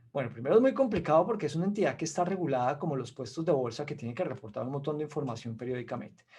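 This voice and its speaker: A man with a Colombian accent speaks in a dark, mellow tone with lively intonation. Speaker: investment expert, webinar speaker. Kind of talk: webinar presentation.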